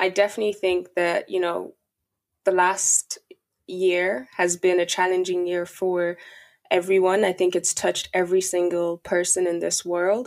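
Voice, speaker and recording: A woman speaks with a Dublin accent at a medium pitch. Her delivery is fairly slow, with monotone, flat intonation. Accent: Irish (Dublin). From Ireland (Dublin), Nigerian heritage. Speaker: podcaster and account manager. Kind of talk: interview.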